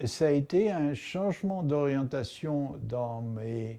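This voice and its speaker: Lively intonation marks a man's dark, mellow voice at medium pitch. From Tunisia. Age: 70s. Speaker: mathematician, professor. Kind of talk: interview monologue. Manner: hesitant, with filler sounds.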